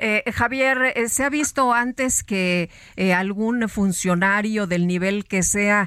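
A woman with an unremarkable speaking voice, at a medium pitch and fairly slow pace, with ordinary pitch variation, in a very clean recording over a silent background. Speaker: radio co-host. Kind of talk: news radio interview.

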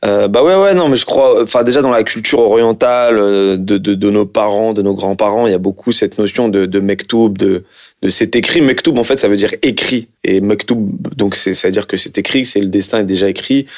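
Delivered at a moderate pace, the speech keeps a very even loudness and ordinary pitch variation. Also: man, fairly low pitch for a man. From France, Algerian heritage. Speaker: actor. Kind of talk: casual interview. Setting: sitting on a couch. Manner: halting, repetitive hesitations.

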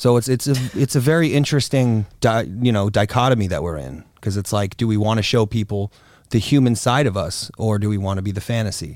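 A man with an American accent talks at a fairly quick pace in an unremarkable speaking voice, his medium pitch showing ordinary variation, on a very clean recording with a silent background. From Florida, US. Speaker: adult film performer and director. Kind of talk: casual interview chat.

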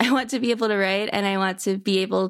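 A woman speaks at medium pitch and a moderate pace in a plain, everyday voice with ordinary pitch variation. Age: 20s. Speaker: comedian. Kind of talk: casual interview chat.

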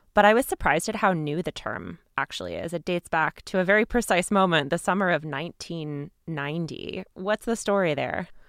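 Recorded very cleanly against a silent background, with a dry, close sound and no echo, a woman in a normal speaking voice talks at a fairly quick pace with hardly any pauses, fairly low pitch and ordinary pitch variation. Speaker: podcast host. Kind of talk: interview with scripted intro.

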